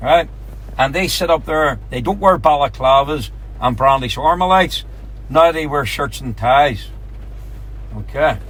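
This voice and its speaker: A man with a Northern Irish accent at a fairly slow pace, with long, frequent pauses and noticeable background noise. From Northern Ireland. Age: 40s. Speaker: taxi tour guide. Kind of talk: guided tour talk.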